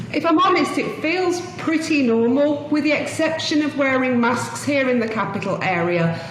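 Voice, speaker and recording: A woman with a British accent speaks with very wide pitch swings. Noticeable background noise and audible room echo surround her voice. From UK. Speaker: tour company co-founder. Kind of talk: interview.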